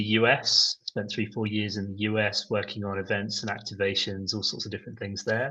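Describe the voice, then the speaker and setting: A man with a British accent talks at a fairly quick pace, his fairly low voice bright and sharp in tone but monotone and flat in intonation. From Britain, Glasgow area. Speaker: event producer. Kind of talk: podcast interview.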